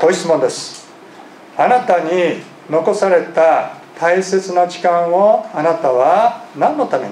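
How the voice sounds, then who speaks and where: At a very slow pace, a man speaks with a high pitch and ordinary pitch variation. Audible room echo and light background noise come through. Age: 50s. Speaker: pastor. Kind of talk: sermon. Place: church. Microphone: podium.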